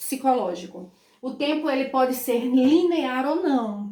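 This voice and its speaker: With audible room echo around her, a woman speaks in an animated tone at a high pitch with ordinary pitch variation. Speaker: school teacher. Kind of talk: online lesson.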